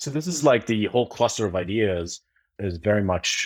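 The speech comes at a fairly quick pace in a very clean recording with a silent background. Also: man. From Jordan. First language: Arabic. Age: 30s. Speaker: tech startup founder. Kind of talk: casual interview. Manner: repeats words, some stammering.

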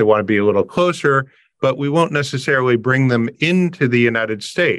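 In a normal speaking voice with a Canadian accent, a man speaks at a fairly quick pace and medium pitch with ordinary pitch variation over a quiet background. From Canada (Windsor, Ontario). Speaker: tax and immigration advisor. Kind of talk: interview.

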